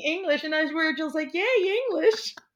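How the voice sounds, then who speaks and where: A woman with a Portuguese accent talks at a fairly quick pace. Her pitch is extremely high. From Brazil, near São Paulo. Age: 30s. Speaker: artist and graduate student. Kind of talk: casual chat.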